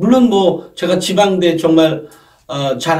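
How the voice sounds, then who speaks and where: Speaking at a fairly slow pace, the man has a high-pitched voice. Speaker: education consultant, college admissions commentator. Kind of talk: monologue explainer on college admissions. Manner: conversational, with self-corrections and fillers.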